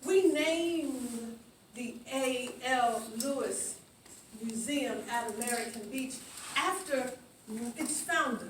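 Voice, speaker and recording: A woman with a high voice and ordinary pitch variation speaks very slowly with long, frequent pauses, amid audible room echo and noticeable background noise. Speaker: museum founding director. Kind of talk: ceremony speech. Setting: outdoors. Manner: halting.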